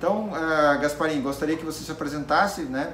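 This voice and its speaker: Audible room echo and noticeable background noise surround a voice whose pitch varies in an ordinary way. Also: man. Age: 40s. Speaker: YouTube interviewer. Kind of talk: interview. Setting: electronics repair shop. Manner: halting.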